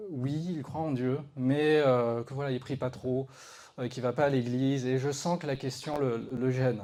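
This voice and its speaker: A man speaks at a medium pitch in a dark, mellow tone, at a fairly slow pace with fairly even intonation. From Madagascar. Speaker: lay preacher. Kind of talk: testimony. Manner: halting.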